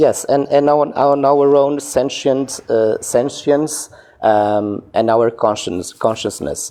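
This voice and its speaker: Speaking at a very slow pace, a man with a fairly high pitch keeps ordinary pitch variation and very even loudness. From Portugal. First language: Portuguese. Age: 40s. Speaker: caller in a debate livestream. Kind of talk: debate. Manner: halting, searching for words.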